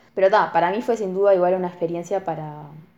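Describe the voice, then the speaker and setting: A woman with a Rioplatense accent at a very fast pace, fairly low in pitch, with fairly even intonation. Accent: Rioplatense, close to Buenos Aires. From Uruguay, Colonia. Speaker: university student. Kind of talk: casual interview chat.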